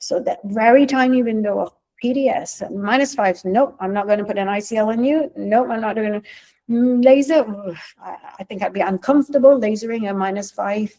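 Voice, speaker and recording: A woman talks at a fairly quick pace in a dark, mellow tone, her pitch varying in an ordinary way. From Singapore. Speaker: eye surgeon. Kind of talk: webinar lecture. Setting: online webinar. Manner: fast.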